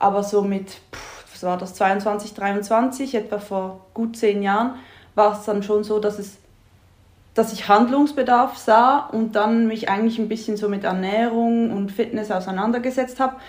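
Her pace is moderate. The woman keeps a fairly even intonation. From Switzerland. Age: 30s. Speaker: marketing office worker, coaching client. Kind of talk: casual interview chat.

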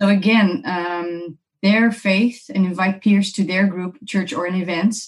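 A woman with a Dutch accent speaks at a moderate pace and a medium pitch, with ordinary pitch variation. Her voice is somewhat breathy. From Netherlands. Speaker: missions organization director. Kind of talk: interview.

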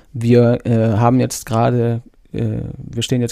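A man speaks with a slight North Rhine-Westphalian accent. His voice sits at a medium pitch and has a dark, mellow tone. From North Rhine-Westphalia, Germany. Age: 40s. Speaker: Scrum Master. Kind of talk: casual interview.

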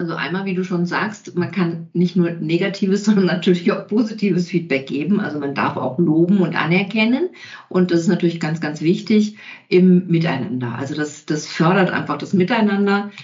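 It is a plain, everyday voice. The pace is moderate, and the pitch varies in an ordinary way. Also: woman, fairly low pitch for a woman. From Bavaria (Allgäu). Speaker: communication coach and trainer. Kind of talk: interview conversation.

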